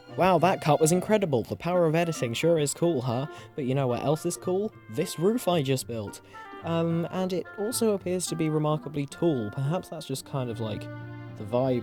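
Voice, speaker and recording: A man's fairly high, playful voice at a moderate pace, with lively intonation and music in the background. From England. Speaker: Minecraft YouTuber. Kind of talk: casual gameplay commentary. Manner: playful, self-deprecating.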